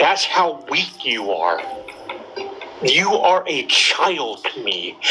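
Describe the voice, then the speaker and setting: A very slow pace over music in the background. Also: man. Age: 60s. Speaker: caller. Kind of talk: heated debate.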